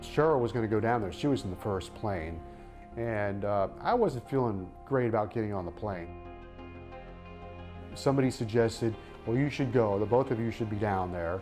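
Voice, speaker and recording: There is music in the background as a man speaks at a fairly low pitch. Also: ordinary pitch variation, moderate pace. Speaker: radio sports broadcaster. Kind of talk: interview answer, recounting a personal story.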